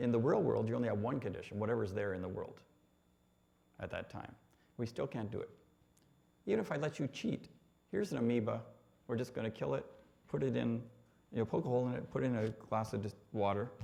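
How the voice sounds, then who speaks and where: With a Canadian accent, a man speaks at a very fast pace in a medium-pitched, dark, mellow voice with vocal fry, ordinary pitch variation and long, frequent pauses. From Canada (Ontario, North Bay). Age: 60s. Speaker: engineer sharing faith testimony. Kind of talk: testimony. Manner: hesitant, many fillers.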